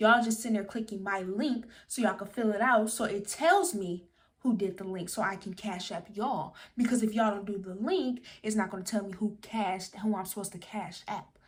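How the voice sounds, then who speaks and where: A somewhat breathy woman's voice at a medium pitch, animated in tone and fairly quick in pace. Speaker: social media influencer. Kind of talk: tutorial. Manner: stutters at times.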